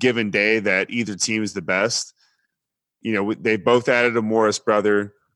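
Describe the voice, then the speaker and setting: Someone with an American accent speaks at a moderate pace in a bright, sharp tone. The recording is very clean, with a silent background. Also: man. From Texas. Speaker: sports podcast co-host. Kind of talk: casual chat. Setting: studio.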